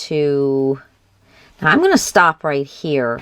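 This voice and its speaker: A woman talks at a fairly slow pace, recorded with a dry, close sound and no echo. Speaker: crafting channel host. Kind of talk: craft tutorial. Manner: loud.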